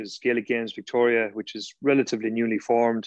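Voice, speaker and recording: A man with an Irish accent speaks at a very fast pace in a monotone, flat intonation, with a dry sound with no echo and a quiet background. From Ireland. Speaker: former Gaelic games player. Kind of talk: casual interview. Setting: video call. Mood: warm, reminiscing. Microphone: video call.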